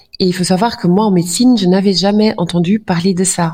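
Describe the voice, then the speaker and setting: A woman with a fairly low pitch speaks in a somewhat breathy voice. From Flanders, Belgium. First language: Dutch (speaking French). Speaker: doctor. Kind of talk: interview. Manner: hesitant, many fillers.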